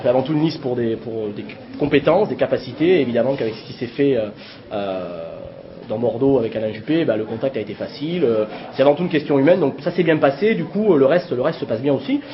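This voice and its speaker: Against noticeable background noise, a man with a fairly high pitch rattles along at a very fast pace with lively intonation. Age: 20s. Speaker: teacher and municipal list candidate. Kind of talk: self-introduction interview. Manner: hesitant, many fillers.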